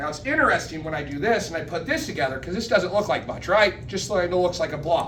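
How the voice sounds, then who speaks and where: A man with a fairly high pitch speaks at a fairly quick pace, with noticeable background noise and audible room echo. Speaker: public speaking club member giving educational session. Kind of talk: educational talk to a club. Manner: casual, self-interrupting.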